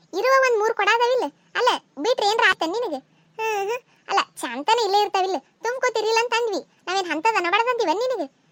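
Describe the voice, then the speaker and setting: Loud and squeaky, a woman does a cartoonish character voice at an extremely high pitch with lively intonation, the sound dry and close with no echo. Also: moderate pace. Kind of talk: cartoon village comedy. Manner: argumentative, loud.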